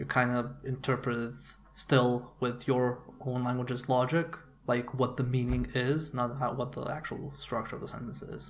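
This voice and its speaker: A man with a Serbian accent speaks at a medium pitch and a moderate pace in monotone, flat intonation. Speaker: video game commentator. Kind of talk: video blog monologue. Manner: casual, hesitant with fillers.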